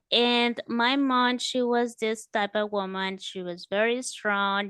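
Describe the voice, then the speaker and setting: A woman's bright, sharp voice with a Spanish accent, very slow and fairly even in intonation, dry and close with no echo against a quiet background. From El Salvador. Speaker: author and home improvement business owner. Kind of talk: interview. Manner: halting.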